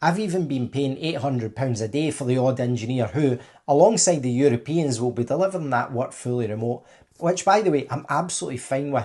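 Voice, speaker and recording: A man with a Scottish accent, dark, mellow tone and medium pitch, lively intonation at a fairly quick pace, over a quiet background. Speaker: tech contracting business owner. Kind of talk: opinion monologue to camera.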